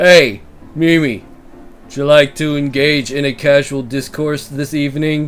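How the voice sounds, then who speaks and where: A man puts on a gruff character voice with a fairly high pitch. He speaks at a moderate pace. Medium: role play. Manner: gruff, affected formal tone.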